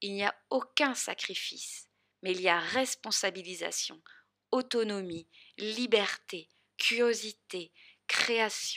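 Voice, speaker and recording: Very slowly and with long, frequent pauses, a woman speaks at medium pitch in a bright, sharp tone with ordinary pitch variation. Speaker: podcast host and spiritual coach. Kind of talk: solo podcast monologue.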